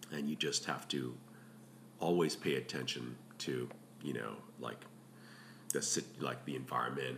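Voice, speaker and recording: Over noticeable background noise, a man with a very deep, low voice speaks at a moderate pace with fairly even intonation and long, frequent pauses. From Hong Kong. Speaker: paddleboard guide service owner. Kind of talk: casual interview. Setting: kitchen table at home.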